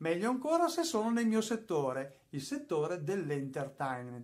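This man's lively intonation rides a fairly quick pace, his voice somewhat breathy. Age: 50s. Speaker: YouTuber and music producer; YouTuber. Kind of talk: tutorial. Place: studio.

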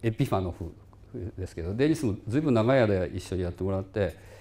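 A man's fairly low voice with a dark, mellow tone. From Japan. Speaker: physics professor. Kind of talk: lecture. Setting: lecture hall with small audience, livestreamed. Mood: relaxed, reminiscing. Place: hall.

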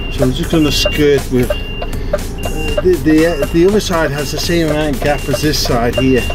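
Music plays in the background as the words come at a moderate pace. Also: man. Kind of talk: casual vlog commentary. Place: car. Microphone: camera far.

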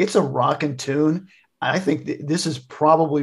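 In an American accent, a man speaks at a fairly high pitch with a somewhat breathy voice. His pace is fairly slow, and the background is quiet. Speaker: podcast co-host. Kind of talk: casual chat.

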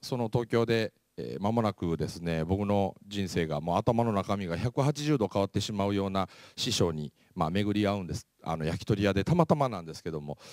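A man's fairly low voice with lively intonation at a moderate pace, on a very clean recording with a silent background and a dry, close sound with no echo. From Japan, Mie Prefecture (Kansai-type dialect). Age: 40s. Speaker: motivational speaker. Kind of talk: lecture.

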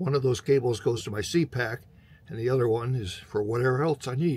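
A man's somewhat breathy voice, moderately paced, its pitch varying in an ordinary way. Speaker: radio hobbyist showing his gear. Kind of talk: casual vlog tutorial. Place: home room. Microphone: phone near.

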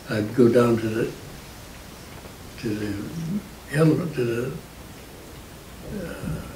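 A man with an American accent talks with ordinary pitch variation, audible room echo and light background noise. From Indiana. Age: 80s+. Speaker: war veteran. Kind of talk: interview answer. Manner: hesitant, halting. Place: home room.

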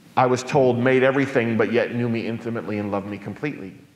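A man's voice with ordinary pitch variation comes through with audible room echo. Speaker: guest. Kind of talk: public talk. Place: church.

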